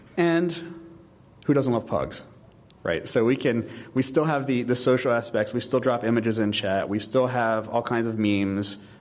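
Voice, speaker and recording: Amid audible room echo, a man speaks at a medium pitch with ordinary pitch variation. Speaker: conference speaker. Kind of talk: audience Q&A; conference talk. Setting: stage with audience. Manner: fast.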